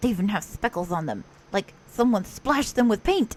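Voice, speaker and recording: Using a put-on character voice, a woman speaks fairly quickly at a fairly high pitch with an energetic tone. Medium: read story. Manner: energetic, bouncy.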